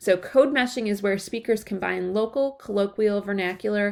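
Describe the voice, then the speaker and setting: A woman with an American accent talks at a fairly quick pace and a medium pitch with ordinary pitch variation, on a very clean recording with a silent background. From Chicago area, US Midwest. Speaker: college writing instructor. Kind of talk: lecture.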